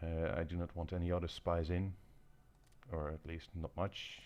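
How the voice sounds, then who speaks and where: A man with a non-native accent and a very deep, low pitch, at a fairly slow pace, in a very clean recording with a silent background. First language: not English. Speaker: gaming video creator. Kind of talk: gameplay commentary. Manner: halting, many fillers.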